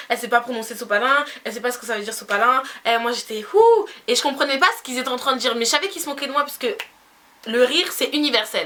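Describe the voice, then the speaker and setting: Over noticeable background noise, a woman talks very fast in a high voice with big swings in loudness. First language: Spanish (speaking French). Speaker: beauty youtuber. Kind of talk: storytime vlog. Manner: animated.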